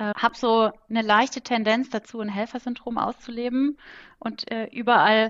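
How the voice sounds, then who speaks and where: Against a quiet background, a woman speaks in an ordinary speaking voice at a fairly high pitch and a moderate pace. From Kaiserslautern, Palatinate, Germany. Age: 20s. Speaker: management consultant. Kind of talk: casual interview chat. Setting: home office, remote call.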